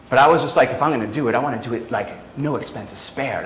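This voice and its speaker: With a New York accent and a medium pitch, a man speaks at a very fast pace in an animated tone, amid audible room echo and noticeable background noise. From New York, of Italian family. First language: Italian. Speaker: fitness business coach. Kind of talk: training seminar. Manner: casual, animated.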